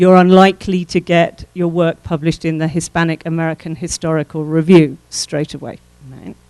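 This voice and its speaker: In an English accent, a woman talks at a moderate pace with a fairly low pitch and a dark, mellow tone. Her intonation is monotone and flat, and the sound is dry and close with no echo. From England. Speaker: professor. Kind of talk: workshop lecture.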